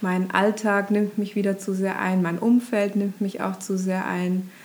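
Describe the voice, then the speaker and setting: A woman's fairly slow, monotone, flat delivery comes through noticeable background noise. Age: 30s. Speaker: ashram resident, former marketing worker. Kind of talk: casual interview chat. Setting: in person at a yoga ashram. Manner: hesitant, many filler sounds.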